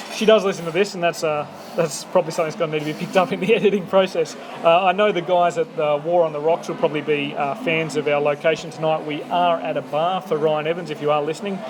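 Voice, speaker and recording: Over noticeable background noise, a man with an Australian accent and a high pitch speaks at a very fast pace with fairly even intonation. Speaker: podcast host. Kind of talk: casual interview chat. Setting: bar over coffee.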